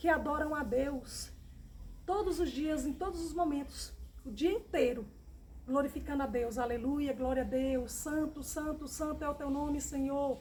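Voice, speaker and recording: A woman's high voice with a warm tone and ordinary pitch variation, heard with audible room echo. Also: fairly slow pace. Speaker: Bible teacher. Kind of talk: Bible study. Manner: warm, repetitive addressing.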